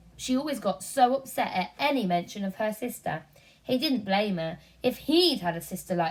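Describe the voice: A plain read-aloud delivery carried by lively intonation.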